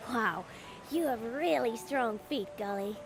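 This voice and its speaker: A put-on character voice that sounds female comes through at a fairly high pitch and a fairly slow pace, with clear background noise behind it. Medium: read story.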